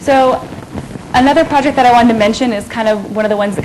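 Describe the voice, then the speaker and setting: A woman talks with ordinary pitch variation amid noticeable background noise and audible room echo. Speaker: conservation program coordinator. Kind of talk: lecture. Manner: fast; hesitant, many fillers.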